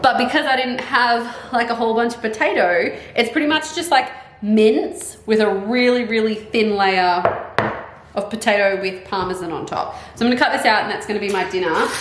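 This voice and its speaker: With noticeable background noise and audible room echo, a woman with an Australian accent talks at a moderate pace, her fairly high voice carrying lively intonation. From Australia, Melbourne. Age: 30s. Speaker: vlogger and substitute primary school teacher. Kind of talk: casual vlog talk to camera. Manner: casual, chatty with many fillers.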